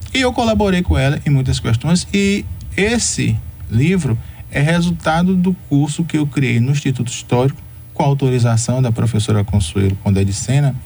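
Loudness stays very even while the pitch swings very widely, all at a moderate pace. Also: man, medium pitch for a man. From Brazil, Salvador, Bahia. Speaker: historian. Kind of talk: radio interview.

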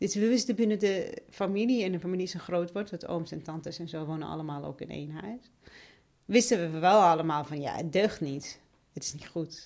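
A woman's fairly low voice at a fairly quick pace, with ordinary pitch variation and big swings in loudness. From Iraq (Basra and Baghdad). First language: Arabic (speaking Dutch). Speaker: member of parliament. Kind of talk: interview.

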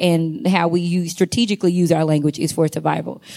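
Fairly quick speech comes from a woman with an ordinary speaking voice, fairly low in pitch. The recording is very clean, with a silent background. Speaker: doctoral student researcher. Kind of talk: conference panel discussion. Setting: stage with audience.

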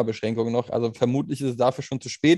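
Dark and mellow in tone, a man speaks at a medium pitch with fairly even intonation. The sound is dry and close, with no echo. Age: 30s. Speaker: podcast co-host. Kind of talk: casual chat.

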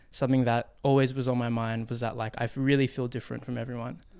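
In a very clean recording with a silent background, a man with an Australian accent speaks fairly quickly at a medium pitch, his intonation flat and monotone. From Western Sydney, Australia. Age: 20s. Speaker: filmmaker and breakdancer. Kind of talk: interview. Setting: studio. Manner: casual, many filler words.

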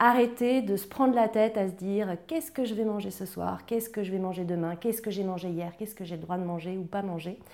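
At a very fast pace with hardly any pauses, a woman speaks at medium pitch with ordinary pitch variation. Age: 30s. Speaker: emotional eating coach. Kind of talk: interview testimony.

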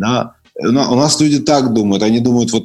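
Music runs behind the speaker. He is a man whose intonation is lively. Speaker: podcast guest, former emigrant to Israel. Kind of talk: casual chat. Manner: halting, many fillers.

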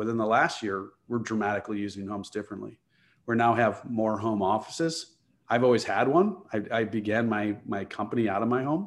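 Fairly quick and fairly low-pitched, a man talks with a Chicago accent. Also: ordinary pitch variation. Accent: Chicago American English. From US Midwest, Chicago area. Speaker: real estate investor and architect. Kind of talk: interview.

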